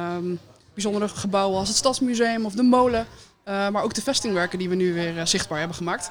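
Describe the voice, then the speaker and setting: Her pitch sits at a medium level and varies in an ordinary way. The woman talks very fast. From Netherlands, Woerden. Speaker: municipal employee and heritage day organiser. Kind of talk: casual radio interview. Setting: live broadcast from a café.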